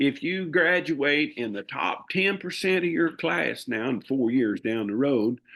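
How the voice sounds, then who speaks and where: A man's intonation rises and falls in a lively way, and the background is quiet. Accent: Southern US. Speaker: livestock auctioneer. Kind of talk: interview answer. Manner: casual, rambling.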